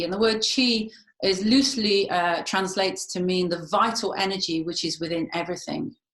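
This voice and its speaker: A woman talks in a normal speaking voice at a moderate pace, her medium pitch showing ordinary variation. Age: 50s. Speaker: feng shui consultant and healer. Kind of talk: interview talk.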